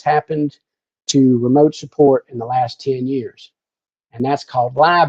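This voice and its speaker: Using an ordinary speaking voice, a man with an American accent speaks at a fairly high pitch and moderate pace. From US South. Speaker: technical services specialist. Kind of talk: webinar presentation. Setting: online webinar. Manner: casual, many fillers and repetitions.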